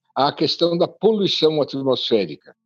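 A man speaks at a fairly high pitch and a fairly slow pace. Music plays in the background. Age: 80s+. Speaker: urban transport policy expert, former city official. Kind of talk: interview. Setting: remote recording.

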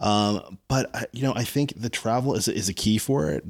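A man with an American accent talks at a moderate pace, with ordinary pitch variation and an unremarkable speaking voice. The recording is very clean, its background silent. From New Jersey, Freehold. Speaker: TV producer and showrunner. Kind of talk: casual interview. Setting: at the guest's home.

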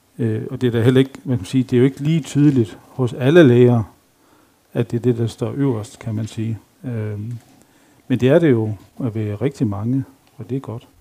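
A man speaks at a moderate pace with long, frequent pauses and big swings in loudness. His voice is medium in pitch with a dark, mellow tone and ordinary pitch variation. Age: 50s. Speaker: lay preacher. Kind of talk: sermon. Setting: church.

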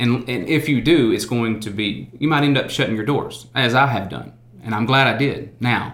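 With a Southern US accent, a man speaks at a moderate pace amid audible room echo. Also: medium pitch for a man, ordinary pitch variation. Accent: US South. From Arkansas. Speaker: insurance consultant. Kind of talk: interview.

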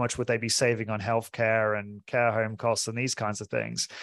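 With a southern English accent, a man talks at a moderate pace and medium pitch. The background is quiet. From southern England (Portsmouth). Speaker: fitness studio owner and podcaster. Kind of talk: interview.

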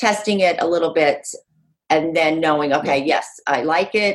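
An unremarkable speaking voice comes with an American accent. Its pitch varies in an ordinary way. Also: woman. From Utah. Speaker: real estate agent. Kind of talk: podcast interview.

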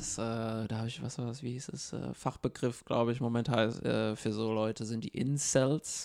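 At a moderate pace and with hardly any pauses, the speaker uses an unremarkable speaking voice. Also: man, medium pitch for a man. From abroad, immigrant to Germany. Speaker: podcast co-host. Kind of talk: casual discussion.

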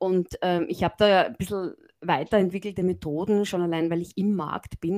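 A woman speaks in an unremarkable speaking voice, fairly low in pitch, at a fairly quick pace with fairly even intonation. The sound is dry and close with no echo, on a very clean recording with a silent background. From Austria, Graz (Styria). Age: 50s. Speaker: management professor. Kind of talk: interview.

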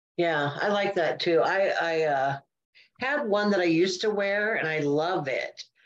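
This woman has a plain, everyday voice, pitched fairly low. She talks at a fairly slow pace with ordinary pitch variation. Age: 60s. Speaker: podcast co-host. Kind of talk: casual chat.

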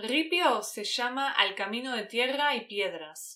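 With a Rioplatense accent, a woman speaks in a fairly high, bright, sharp voice full of lively intonation. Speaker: Spanish teacher, podcast host. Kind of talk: interview; scripted narration for learners.

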